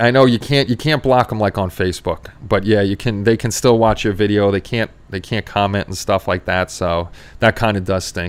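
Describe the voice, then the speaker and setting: A man's fairly low voice with a New York accent, ordinary pitch variation and hardly any pauses, in a very clean recording with a silent background. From New York City, Queens. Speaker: model-making livestream host. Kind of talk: casual chat. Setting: livestream. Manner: fast; sometimes loud.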